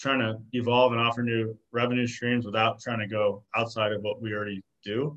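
In a normal speaking voice, a man of medium pitch talks at a fairly quick pace with an American accent and fairly even intonation. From Arizona. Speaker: clothing brand co-founder. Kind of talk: casual interview.

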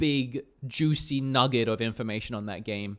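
Speaking at a moderate pace, the man has a normal speaking voice, a medium pitch and ordinary pitch variation. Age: 30s. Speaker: gaming podcast co-host. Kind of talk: casual chat. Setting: remote call, on green screen.

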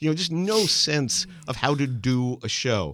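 Against a silent background in a very clean recording, a man uses a plain, everyday voice with medium pitch and lively intonation. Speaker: podcast host. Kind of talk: interview, casual chat.

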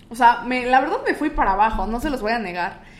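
Lively intonation runs through a woman's high-pitched voice. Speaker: radio announcer and podcaster. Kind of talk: casual chat. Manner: stronger, more formal announcer voice on podcast.

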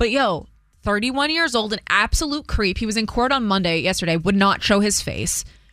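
Fairly high-pitched woman's voice with lively intonation, a bright, sharp tone and a moderate pace. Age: 30s. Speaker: morning radio host. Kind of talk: casual morning show banter.

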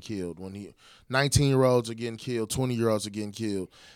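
Recorded very cleanly against a silent background, a man talks at a very fast pace with medium pitch and ordinary pitch variation. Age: 30s. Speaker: podcast co-host. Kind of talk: casual chat.

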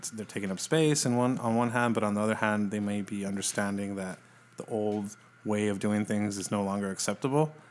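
A man with an American accent and a normal speaking voice talks at a fairly quick pace, his fairly low pitch held in fairly even intonation. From El Paso, Texas. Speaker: music writer and editor. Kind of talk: casual interview.

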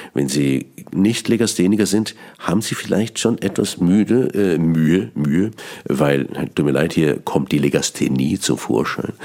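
A man's voice with vocal fry, lively intonation and a fairly slow pace. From Switzerland, Bern. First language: Swiss German (Bernese dialect) (speaking German). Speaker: cabaret artist and radio host. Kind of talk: radio monologue on language. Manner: halting, with repetitions.

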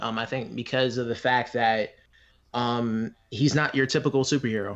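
An unremarkable speaking voice from a man, medium in pitch, over a quiet background. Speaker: guest. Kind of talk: casual chat.

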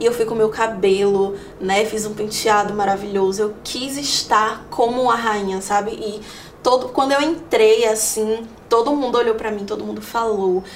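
Noticeable background noise and audible room echo surround a woman whose fairly high pitch moves with fairly even intonation. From Salvador, Bahia, Brazil. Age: 20s. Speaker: digital content creator and journalist. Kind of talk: interview testimony.

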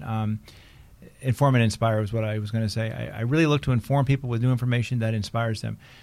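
A man at a very fast pace, medium in pitch, with fairly even intonation. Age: 50s. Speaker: photo industry consultant. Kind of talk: casual interview chat. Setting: studio. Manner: fast talker.

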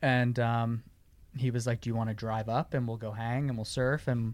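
A man at medium pitch and moderate pace. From New York, Long Island. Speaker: surf filmmaker. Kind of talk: casual interview chat.

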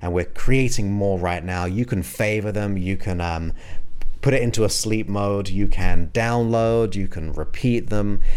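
Using an unremarkable speaking voice, a man talks at a fairly low pitch and fairly slow pace with ordinary pitch variation. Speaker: hypnotherapist podcast host. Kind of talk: guided meditation hypnosis induction. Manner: slow, soothing, hypnotic, with long pauses; soft-spoken, repetitive, gentle.

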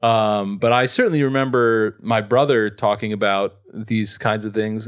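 With an American accent, a man of medium pitch speaks in an unremarkable speaking voice with fairly even intonation. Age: 30s. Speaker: radio host. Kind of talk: casual chat.

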